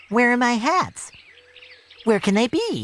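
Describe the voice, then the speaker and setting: The voice is a put-on character voice with fairly high pitch. It moves at a fairly slow pace. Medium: read story.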